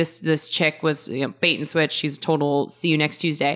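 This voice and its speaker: A woman with an American accent talks at a very fast pace in an animated tone. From US Pacific Northwest, Seattle. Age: 20s. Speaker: reality TV cast member. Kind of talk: casual chat.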